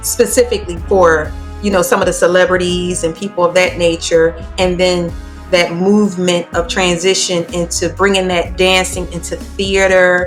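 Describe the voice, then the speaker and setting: A woman talks at a moderate pace. Music can be heard in the background. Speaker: podcast host. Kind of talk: interview question.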